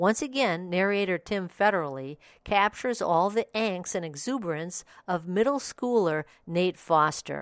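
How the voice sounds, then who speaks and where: A woman talks at a moderate pace in an ordinary speaking voice, with medium pitch and lively intonation, in a very clean recording with a silent background. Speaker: audiobook review podcast host. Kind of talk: scripted review read-out.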